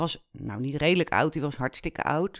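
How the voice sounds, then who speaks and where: The recording is very clean, and the background is silent. A woman talks with ordinary pitch variation. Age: 40s. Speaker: podcast host. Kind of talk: personal monologue. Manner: casual, animated.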